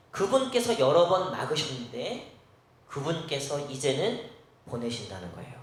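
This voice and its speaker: A man talks at a fairly slow pace, his pitch swinging very widely. Noticeable background noise and audible room echo surround him. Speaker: pastor. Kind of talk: sermon. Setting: church.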